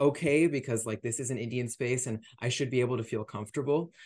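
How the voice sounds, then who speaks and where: Against a quiet background, a man with a normal speaking voice talks at a moderate pace and medium pitch with fairly even intonation. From United States. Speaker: podcast host. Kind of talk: interview.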